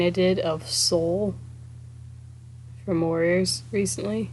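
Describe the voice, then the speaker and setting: A quiet woman's voice, fairly low in pitch, with noticeable background noise. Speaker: artist streaming a speedpaint. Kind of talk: casual livestream chat. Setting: live stream.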